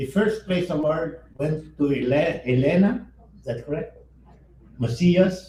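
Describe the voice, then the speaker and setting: At a fairly slow pace, a man speaks with lively intonation and a dark, mellow tone. His pitch is fairly high. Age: 90s. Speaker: organization founder, keynote speaker. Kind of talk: keynote speech at awards ceremony. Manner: halting, self-correcting.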